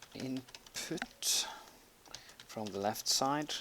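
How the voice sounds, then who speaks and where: Noticeable background noise sits behind a man whose pitch varies in an ordinary way. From Norway. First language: Norwegian. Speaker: gaming tutorial creator. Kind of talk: tutorial. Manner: halting, many fillers while typing.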